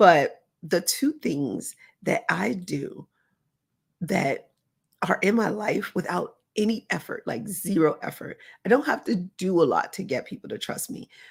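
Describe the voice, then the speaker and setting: A woman speaks at a fairly slow pace, her voice somewhat breathy. Her pitch swings very widely, and she leaves long, frequent pauses. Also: medium pitch for a woman. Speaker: motivational speaker and therapist. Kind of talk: motivational talk. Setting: recorded live, unedited.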